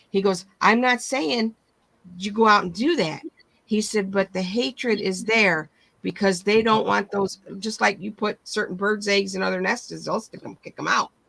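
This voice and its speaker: In an American accent, a woman with a medium pitch and vocal fry talks at a moderate pace. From Michigan. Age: 60s. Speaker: livestream host. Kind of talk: casual chat.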